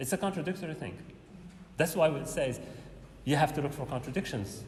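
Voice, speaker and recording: A fairly high-pitched male voice, fairly quick in pace, with ordinary pitch variation amid audible room echo. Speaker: university lecturer. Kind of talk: lecture. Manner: fast; halting.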